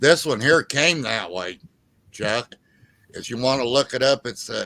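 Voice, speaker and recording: At a fairly slow pace, a man speaks with a bright, sharp tone, vocal fry, and ordinary pitch variation. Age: 60s. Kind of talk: casual chat.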